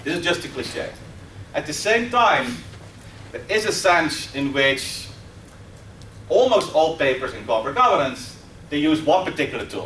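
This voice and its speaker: A man with a Dutch accent, fairly high in pitch, with very wide pitch swings, a moderate pace, long and frequent pauses, noticeable background noise and audible room echo. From Netherlands. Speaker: professor. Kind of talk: lecture. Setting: stage with audience.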